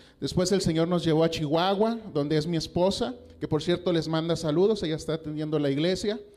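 Here a man is speaking. His voice carries audible room echo. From Mexico, Coahuila (US border). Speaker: pastor. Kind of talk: sermon. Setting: church.

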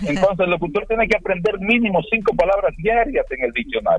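A man is speaking here. His pace is moderate. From Dominican Republic, rural area. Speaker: radio announcer and broadcasting teacher. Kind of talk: radio interview.

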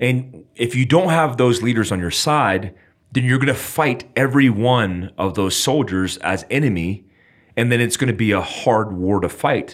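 On a very clean recording with a silent background, a man with an ordinary speaking voice talks at a medium pitch and a moderate pace, his intonation lively. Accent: American. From United States. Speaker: podcast host, former intelligence officer. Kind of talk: interview.

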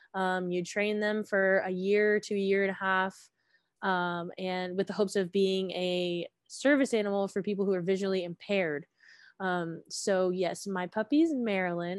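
A woman with an ordinary speaking voice, medium pitch, fairly even intonation and a moderate pace, against a quiet background. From Georgia, US South (Gwinnett County). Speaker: music education graduate. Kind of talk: casual chat.

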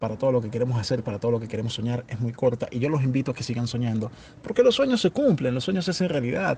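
Very fast and somewhat breathy, a man talks in a dark, mellow tone at medium pitch with ordinary pitch variation. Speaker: podcast host. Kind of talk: casual chat.

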